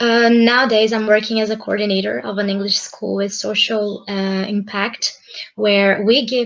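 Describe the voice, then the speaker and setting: The speech has a Brazilian accent and a moderate pace. Its intonation is monotone and flat. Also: woman. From Brazil, São Paulo. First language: Portuguese. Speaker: English school coordinator. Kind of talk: self-introduction.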